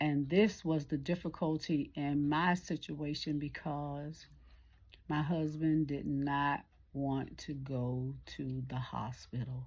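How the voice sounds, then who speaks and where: A woman's very deep, low voice, very slow in pace, with fairly even intonation. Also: quiet background. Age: 60s. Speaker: caregiver and vlogger. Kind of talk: casual vlog monologue. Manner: conversational, informal.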